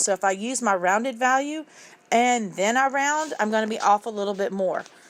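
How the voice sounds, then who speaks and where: A woman talks in a normal speaking voice, fairly high in pitch, with ordinary pitch variation at a moderate pace. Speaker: math teacher. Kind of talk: tutorial.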